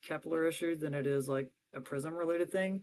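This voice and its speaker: A man speaks with a fairly high pitch. His intonation stays fairly even. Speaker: crypto DeFi guest explaining strategies. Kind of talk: livestream tutorial walkthrough. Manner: fast.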